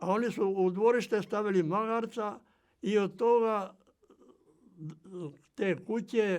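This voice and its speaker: Speaking at a very slow pace with long, frequent pauses, a man with a high pitch keeps his intonation fairly even. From island of Krk, Croatia. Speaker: retired farmer and transport worker. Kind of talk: oral history interview answer.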